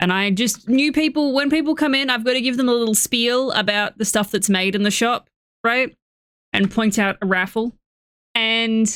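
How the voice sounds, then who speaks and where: In a very clean recording with a silent background, a woman with a fairly high pitch talks at a moderate pace, keeping her loudness very even and her pitch variation ordinary. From Australia. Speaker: gaming streamer. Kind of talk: casual chat.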